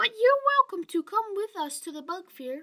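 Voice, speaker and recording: Using a squeaky, put-on character voice, a woman speaks at an extremely high pitch and a moderate pace, with very wide pitch swings and big swings in loudness. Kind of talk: bedtime story. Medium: read story.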